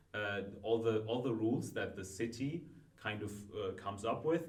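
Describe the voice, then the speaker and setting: With a non-native accent, a man speaks at medium pitch and a moderate pace over noticeable background noise and audible room echo. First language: not Dutch. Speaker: law student, student association member. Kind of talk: casual chat.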